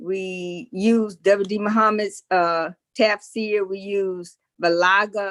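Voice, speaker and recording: A woman of medium pitch speaks at a very slow pace in a monotone, flat intonation. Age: 70s. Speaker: scholar on a panel. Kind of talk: panel talk. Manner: halting, with repeated words.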